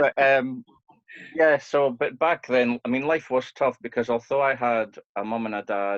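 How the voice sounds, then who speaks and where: With a northeast Scottish accent, a man talks at a moderate pace and with ordinary pitch variation. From northeast Scotland (Portsoy, Aberdeenshire). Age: 40s. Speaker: pianist and cancer survivor. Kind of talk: podcast interview, personal life story. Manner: hesitant, with frequent fillers.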